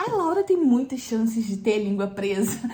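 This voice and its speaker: A woman speaks fairly slowly at a fairly high pitch, her voice making very wide pitch swings. Noticeable background noise runs underneath. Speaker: pregnant vlogger. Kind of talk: casual vlog talk. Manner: hesitant, many fillers.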